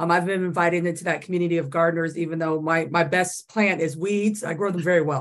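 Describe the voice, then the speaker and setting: A woman with an American accent speaks at a very fast pace, with hardly any pauses. Her pitch is fairly low and her intonation fairly even. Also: quiet background. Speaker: audience participant; panelist. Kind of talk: casual chat. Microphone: video call.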